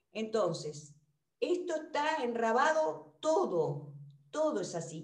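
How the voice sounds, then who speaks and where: A woman speaks very slowly with very wide pitch swings, and audible room echo surrounds her voice. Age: 60s. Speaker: retired general practitioner. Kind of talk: seminar discussion.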